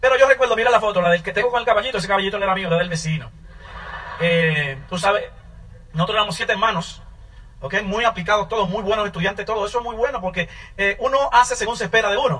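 Over noticeable background noise, a man with a high pitch talks at a very fast pace in a raised, projected voice. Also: ordinary pitch variation. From Dominican Republic, Santo Domingo. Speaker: network marketing business owner. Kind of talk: testimony.

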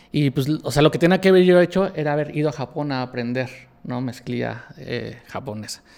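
A man with a plain, everyday voice speaks at a moderate pace, his fairly high pitch rising and falling in an ordinary way. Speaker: denim designer. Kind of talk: casual interview chat.

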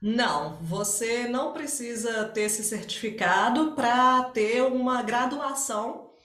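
Her pitch is high, and a woman speaks with ordinary pitch variation. Room echo is audible, along with noticeable background noise. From Minas Gerais, Brazil (Barbacena). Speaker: English teacher. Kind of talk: interview.

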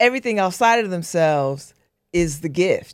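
In a normal speaking voice, a woman of medium pitch is heard with a dry, close sound and no echo on a very clean recording with a silent background. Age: 60s. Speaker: radio host and newspaper editor. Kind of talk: casual interview.

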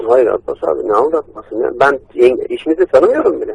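A man speaks fairly quickly, and the sound is dry and close with no echo. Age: 30s. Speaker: computer repair technician. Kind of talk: phone call, prank victim pleading. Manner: halting.

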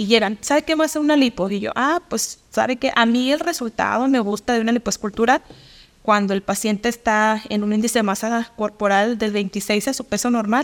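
This woman has an unremarkable speaking voice with a fairly high pitch and ordinary pitch variation. She talks at a moderate pace in a dry, close sound with no echo. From Mexico, Durango. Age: 30s. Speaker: nutritionist. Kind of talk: interview.

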